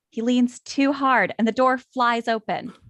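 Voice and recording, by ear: A woman with a fairly bright tone is heard in a dry, close recording with no echo.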